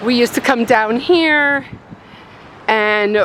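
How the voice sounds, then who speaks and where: Over noticeable background noise, a woman with a high pitch speaks at a very slow pace. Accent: American. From Chicago, US Midwest. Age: 60s. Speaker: craft and lifestyle vlogger. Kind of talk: casual vlog walking tour. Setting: outdoors in neighborhood. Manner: halting, casual with fillers.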